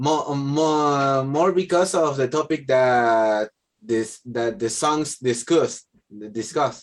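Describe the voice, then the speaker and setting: The speaker has a Spanish accent and a very slow pace. Loudness stays very even, with ordinary pitch variation. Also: man, fairly high pitch for a man. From Argentina. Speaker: English language student. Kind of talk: language class speaking practice. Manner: halting, many fillers and repetitions.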